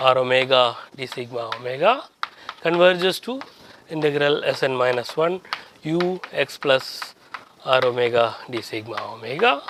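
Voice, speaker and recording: Noticeable noise fills the background while the words come fairly slowly. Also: man. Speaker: professor. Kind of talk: lecture. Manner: halting.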